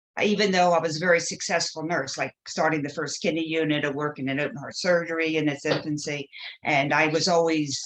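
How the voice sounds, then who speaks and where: Speaking at a moderate pace, a woman with an American accent uses a very deep, low pitch and fairly even intonation. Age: 70s. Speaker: shame and guilt educator, nurse, reverend. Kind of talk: interview.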